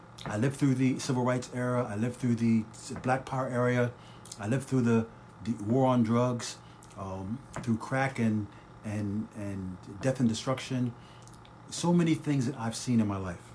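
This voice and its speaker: A man with an American accent, medium pitch and fairly even intonation, moderate pace, long, frequent pauses and noticeable background noise. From Trenton / Northeast Philadelphia area, US. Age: 60s. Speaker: podcast host. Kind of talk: live-streamed podcast monologue. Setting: home kitchen, live broadcast.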